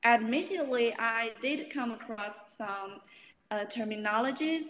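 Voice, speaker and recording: A woman with a Chinese accent talks at a fairly slow pace, her pitch fairly high. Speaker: university student. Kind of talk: interview.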